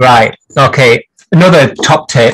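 A raspy, put-on character voice in an East Yorkshire accent at a fairly slow pace. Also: man.

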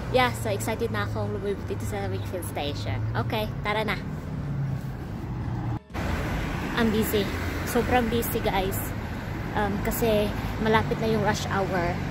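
Dry, echo-free audio of a woman talking at a fairly slow pace with long, frequent pauses, set against loud background noise. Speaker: vlogger. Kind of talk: casual vlog chat. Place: street. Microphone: phone near.

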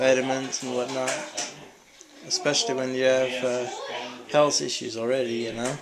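A man is speaking. Noticeable background noise runs under his voice. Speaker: interviewer, son. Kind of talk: casual conversation. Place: home room. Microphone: phone near.

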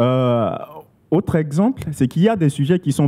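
Here a man speaks at a moderate pace. His voice is fairly high in pitch with a dark, mellow tone. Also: quiet background. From Central African Republic. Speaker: radio journalist and blogger; radio journalist, blogger. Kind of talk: panel discussion. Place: hall. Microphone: handheld.

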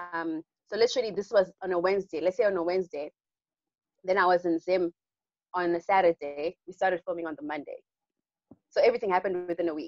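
Talking very fast with long, frequent pauses, a woman at medium pitch is recorded with a dry sound, no echo, and a quiet background. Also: fairly even intonation. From Zimbabwe. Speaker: actress. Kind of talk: Q&A interview. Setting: video call. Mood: warm, smiling, reflective. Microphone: video call.

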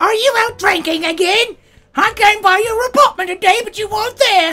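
A female-sounding voice does a put-on character voice at an extremely high pitch. The pace is moderate. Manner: scolding.

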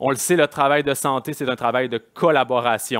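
A man at a moderate pace with fairly even intonation, against a quiet background. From Quebec. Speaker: kinesiology federation president; conference speaker. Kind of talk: conference talk. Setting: stage with audience. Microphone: headset.

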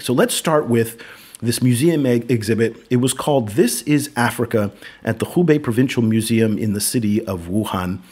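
A man talks fairly quickly with an American accent, in a normal speaking voice. His pitch is medium with ordinary variation. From United States. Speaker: podcast host. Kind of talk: casual discussion.

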